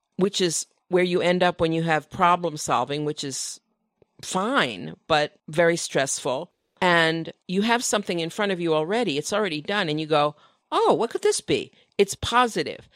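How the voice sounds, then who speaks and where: A woman talks at a moderate pace in a plain, everyday voice, fairly low in pitch with ordinary pitch variation. The recording is very clean, with a silent background. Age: 60s. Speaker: author, designer and illustrator. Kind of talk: casual chat. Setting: live podcast recording at a design conference.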